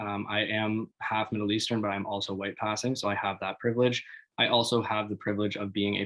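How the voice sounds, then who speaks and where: A man talks in an ordinary speaking voice at a fairly low pitch. His pace is moderate. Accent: Canadian. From Canada, Toronto. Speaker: youth workshop facilitator. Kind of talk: webinar presentation. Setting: online webinar.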